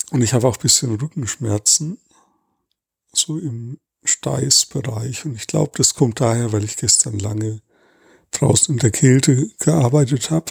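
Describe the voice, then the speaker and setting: A man's somewhat breathy voice at medium pitch and a fairly slow pace, with ordinary pitch variation, long, frequent pauses, and a dry, close sound with no echo. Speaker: body awareness podcaster. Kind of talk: guided body scan monologue. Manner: slow, halting with pauses.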